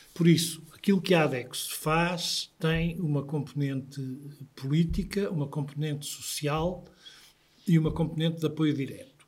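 Speaking in a European Portuguese accent, a man has a fairly high pitch. His pace is fairly slow and his intonation fairly even. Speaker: patient association president. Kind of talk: interview.

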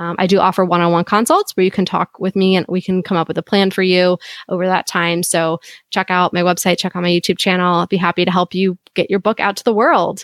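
Dry and close with no echo on a very clean recording with a silent background, the voice runs at a very fast pace with monotone, flat intonation. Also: woman, medium pitch for a woman. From United States. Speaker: author and independent publisher. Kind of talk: casual chat.

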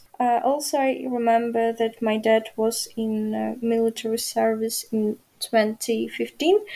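In a Ukrainian accent, a woman speaks very slowly with a fairly high pitch, a dark, mellow tone and fairly even intonation. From Ukraine. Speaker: journalism student. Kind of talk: interview. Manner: halting.

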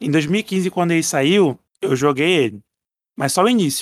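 A man's fairly high voice with lively intonation. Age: 20s. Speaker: podcast listener. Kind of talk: casual chat.

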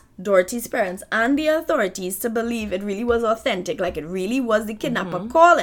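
The clip has a natural reading voice with lively intonation.

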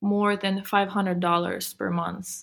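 A woman speaks at a medium pitch. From Ukraine, then Switzerland as teen. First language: Ukrainian or Russian. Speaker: fashion graduate. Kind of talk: interview. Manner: halting.

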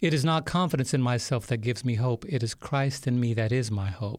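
A plain, everyday voice belongs to a man with an American accent who speaks at a moderate pace and medium pitch in a very clean recording with a silent background. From US Northeast, New York City. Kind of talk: interview testimony. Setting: studio.

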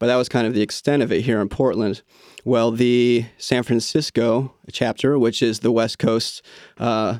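On a very clean recording with a silent background, a man with an unremarkable speaking voice and medium pitch keeps a fairly even intonation at a moderate pace. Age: 40s. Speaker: lion dance coach. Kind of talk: interview.

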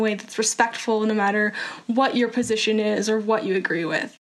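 Fairly high in pitch, a woman speaks at a fairly quick pace with fairly even intonation. Background noise is noticeable. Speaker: nonprofit founder. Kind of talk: interview.

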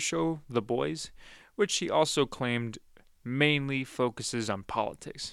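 This is a man with a normal speaking voice. His pitch is medium, with ordinary pitch variation. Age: 20s. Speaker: podcast host and media reviewer. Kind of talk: casual review monologue. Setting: studio.

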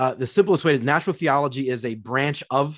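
Against a quiet background, a plain, everyday voice moves at a fairly quick pace. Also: man. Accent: American. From Philadelphia, Pennsylvania. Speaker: college professor of theology. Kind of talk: casual theological discussion.

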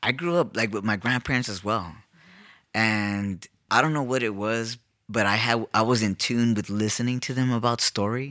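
A man with an American accent and a plain, everyday voice, fairly low in pitch, at a moderate pace with fairly even intonation, on a very clean recording with a silent background. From East Los Angeles. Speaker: artist and gallery co-owner. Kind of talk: casual interview. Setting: in the gallery.

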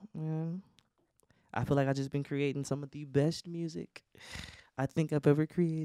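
A man with an American accent and a fairly high pitch, at a moderate pace, in a dry, close sound with no echo over a very clean, silent background. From Flint, Michigan. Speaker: R&B/pop singer. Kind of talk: casual chat.

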